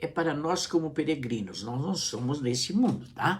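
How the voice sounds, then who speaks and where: A man speaks with vocal fry, and audible room echo surrounds his voice. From Brazil. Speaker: pastor. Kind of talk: sermon. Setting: live stream.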